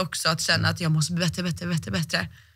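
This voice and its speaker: A woman's bright, sharp tone with vocal fry, very fast and fairly even, over a quiet background. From Sweden. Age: 20s. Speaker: athlete; guest. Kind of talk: interview. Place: studio. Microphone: studio mic.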